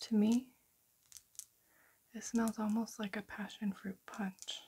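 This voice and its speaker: A soft-spoken voice moves at a very slow pace. Light background noise sits behind it. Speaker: perfume reviewer. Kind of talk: product review talk. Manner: soft-spoken ASMR voice, hushed.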